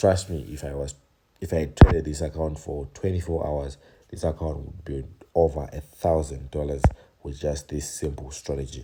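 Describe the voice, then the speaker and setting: Soft-spoken, a man talks with a very deep, low pitch and fairly even intonation. His loudness swings widely. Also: moderate pace. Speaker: trading educator. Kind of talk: tutorial. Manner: soft-spoken, low voice.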